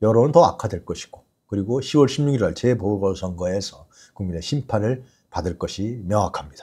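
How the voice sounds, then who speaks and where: Fairly low, dark, mellow male voice, somewhat breathy, with lively intonation and a quiet background. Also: moderate pace. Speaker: political commentary show host. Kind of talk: live news commentary. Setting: studio. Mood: critical, indignant. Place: studio. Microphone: lapel.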